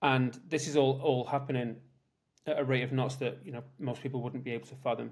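Somewhat breathy and flat in a monotone, this voice speaks at a fairly quick pace with a British accent. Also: man, medium pitch for a man. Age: 50s. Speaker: tech executive. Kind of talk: interview.

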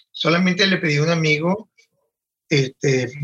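The man's voice sits at a fairly high pitch. He keeps to a fairly slow pace. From Venezuelan Andes (Valera, Trujillo). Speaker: fashion designer. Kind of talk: interview.

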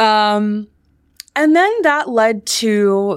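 In a very clean recording with a silent background, a woman speaks in a plain, everyday voice. Her pitch is medium and her intonation is lively. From US, Washington D.C. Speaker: film producer and entrepreneur. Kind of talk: interview.

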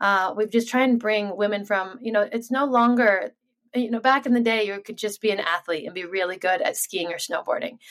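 At a fairly quick pace, a woman with an unremarkable speaking voice talks in a fairly high pitch that varies in an ordinary way. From Sun Valley, Idaho, US. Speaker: pro freeskier. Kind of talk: interview. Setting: video call.

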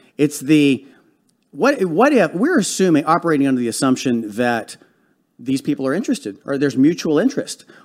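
A man's fairly high voice at a fairly quick pace, with lively intonation and a very clean recording over a silent background. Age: 50s. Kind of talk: casual chat. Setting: studio. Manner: animated.

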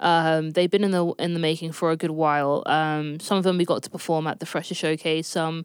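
Someone with a London accent speaks at a moderate pace with fairly even intonation on a very clean recording with a silent background, the sound dry and close with no echo. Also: woman. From North London. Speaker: session bassist and producer. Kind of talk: interview.

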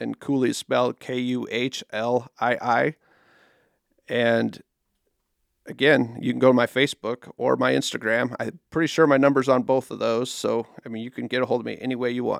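A man's flat, monotone voice in a Midwestern American accent, on a very clean, dry, close recording with a silent background and no echo. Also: medium pitch for a man, moderate pace. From Nebraska. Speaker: nature photographer. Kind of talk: casual interview. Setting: studio.

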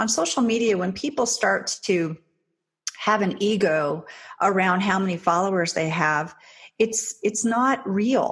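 A woman's somewhat breathy voice at medium pitch, fairly slow, with ordinary pitch variation. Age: 50s. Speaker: social media marketing entrepreneur. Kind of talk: interview.

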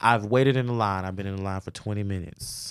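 A man is talking. The recording is very clean, with a silent background. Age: 20s. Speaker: podcast host and hairstylist. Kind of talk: casual chat. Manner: animated.

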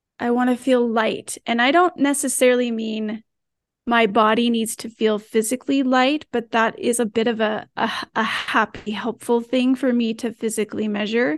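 A woman with a normal speaking voice, fairly high in pitch with ordinary pitch variation, speaks at a moderate pace in a dry, close sound with no echo against a quiet background. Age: 40s. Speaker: wellness app team member. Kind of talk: casual conversation.

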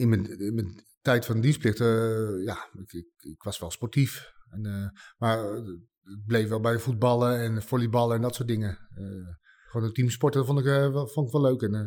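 A man at a medium pitch with ordinary pitch variation and a moderate pace, on a very clean recording with a silent background. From Netherlands, Utrecht area. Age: 40s. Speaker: war veteran. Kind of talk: interview testimony. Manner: halting, many hesitations and repeats.

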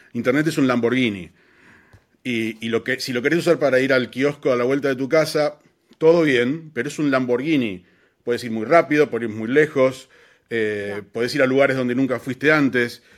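Using a Rioplatense accent, a man speaks at a moderate pace with a medium pitch and ordinary pitch variation. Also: very clean recording, silent background. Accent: Argentine Rioplatense Spanish. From Argentina, Buenos Aires. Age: 40s. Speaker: advertising creative. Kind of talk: interview. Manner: hesitant with fillers and repetitions.

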